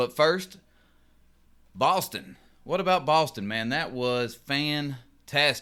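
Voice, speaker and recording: A man's fairly high-pitched voice with a bright, sharp tone and lively intonation, at a very slow pace with long, frequent pauses. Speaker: union representative. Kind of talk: casual podcast monologue.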